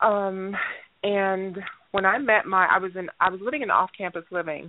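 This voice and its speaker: Using an ordinary speaking voice, a woman with an American accent talks at a moderate pace and medium pitch. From Gary, Indiana. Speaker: makeup artist. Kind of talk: interview.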